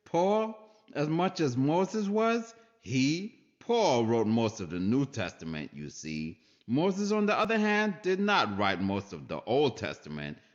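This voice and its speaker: Speaking at a fairly slow pace, a man with a medium pitch lets his voice swing very widely up and down. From Saint Lucia, West Indies. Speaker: spoken word poet. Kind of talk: religious spoken word monologue. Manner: aggressive, intense.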